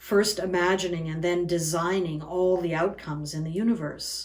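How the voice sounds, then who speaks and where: In an unremarkable speaking voice, a woman talks at a fairly slow pace with a fairly low pitch. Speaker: pastor. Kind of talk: sermon delivery.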